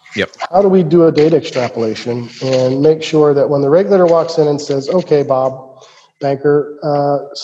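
With an American accent, a man uses a plain, everyday voice, fairly high in pitch with fairly even intonation. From Ohio, US Midwest. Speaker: entrepreneur. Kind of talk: interview.

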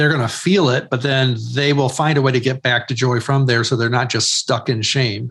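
Here is a man with an ordinary speaking voice at medium pitch, using fairly even intonation and very even loudness. His moderate pace carries hardly any pauses. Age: 50s. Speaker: author and ministry leader. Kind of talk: interview.

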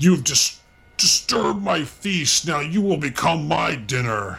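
Bellowing in a put-on character voice, a man talks at a fairly slow pace and a fairly high pitch. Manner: bellowing, menacing.

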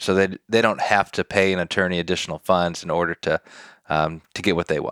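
On a very clean recording with a silent background and a dry, close sound with no echo, a man with an American accent and a very deep, low voice talks at a fairly quick pace. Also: fairly even intonation. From Detroit, Michigan. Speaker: probate attorney. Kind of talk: podcast interview, explaining legal topics.

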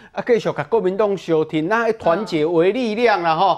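The pace is moderate. The background is quiet. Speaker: political commentator. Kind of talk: TV political talk show.

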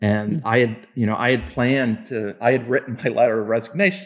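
On a very clean recording with a silent background, a man with an American accent uses an ordinary speaking voice at medium pitch, moderate pace and ordinary pitch variation. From Kansas. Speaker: sports executive and Navy veteran. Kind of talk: interview.

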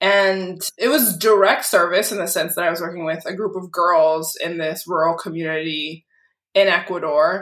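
A woman with a normal speaking voice talks at a moderate pace. Her fairly low pitch stays fairly even. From Massachusetts, Lynn (north of Boston). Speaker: lawyer. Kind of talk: casual interview.

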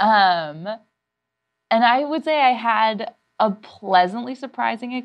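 Here is a woman with an ordinary speaking voice. She talks at a fairly high pitch with lively intonation. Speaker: comedy writer and actor. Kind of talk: casual chat.

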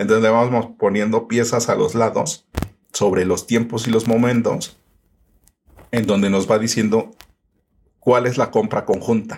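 Speaking fairly slowly in a medium-pitched voice, a man keeps a flat, monotone delivery at a very even volume, broken by long, frequent pauses. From Mexico City, Iztapalapa. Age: young. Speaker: growth consultant. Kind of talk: interview conversation.

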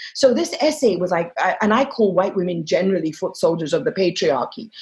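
Somewhat breathy and animated, a woman speaks at a fairly quick pace. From Egypt. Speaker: journalist and author. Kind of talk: interview.

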